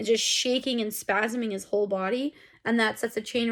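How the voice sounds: Fairly even intonation in a natural reading voice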